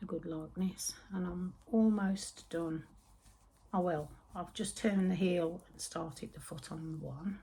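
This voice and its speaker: Woman with a West Midlands accent, fairly low in pitch and somewhat breathy, her tone dark and mellow, at a fairly slow pace with fairly even intonation. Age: 60s. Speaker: knitting and yarn vlogger. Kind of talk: casual chat. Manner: chatty, meandering.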